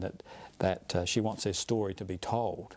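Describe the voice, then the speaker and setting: Here a man with an Australian accent speaks at a fairly low pitch. His tone is dark and mellow, his intonation fairly even and his pace moderate. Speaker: radio host and journalist. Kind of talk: interview. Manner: halting.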